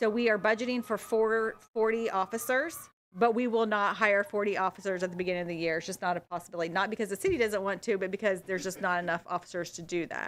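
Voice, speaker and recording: Racing along at a very fast pace with hardly any pauses, a woman with an American accent speaks at a medium pitch with ordinary pitch variation. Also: very clean recording, silent background. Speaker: city auditor. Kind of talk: budget presentation.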